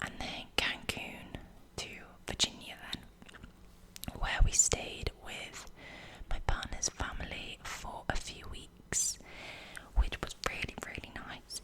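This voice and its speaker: Whispering over noticeable background noise, a woman speaks at a very slow pace and leaves long, frequent pauses. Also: big swings in loudness. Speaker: ASMR creator. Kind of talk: whisper ramble ASMR video. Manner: whispered, soft-spoken.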